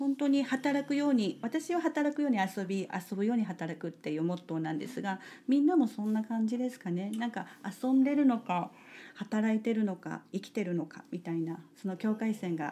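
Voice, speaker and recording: A somewhat breathy woman speaks at a moderate pace, her fairly high voice making very wide pitch swings. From Japan, Kitakyushu (Kokura, Fukuoka). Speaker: salt maker and farmer. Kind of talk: casual interview.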